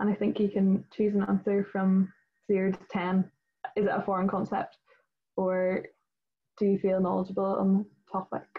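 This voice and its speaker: With a Northern Irish accent, a woman speaks in a somewhat breathy, medium-pitched voice at a moderate pace, with monotone, flat intonation and long, frequent pauses. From Northern Ireland. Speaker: student committee chairperson and event host. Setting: video call. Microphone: video call.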